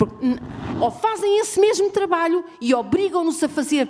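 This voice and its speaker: The voice moves at a moderate pace while its pitch swings very widely. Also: woman. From Portugal. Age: 60s. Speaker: audience member, domestic violence survivor. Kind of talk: audience intervention at a forum. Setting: university auditorium. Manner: halting, repeating words.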